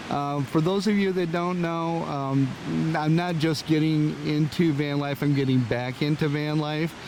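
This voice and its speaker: A man speaks at a fairly slow pace in a fairly high pitch, his intonation fairly even, with noticeable background noise behind him. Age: 60s. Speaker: YouTuber, van and Jeep hobbyist. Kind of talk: tutorial. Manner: hesitant, many fillers.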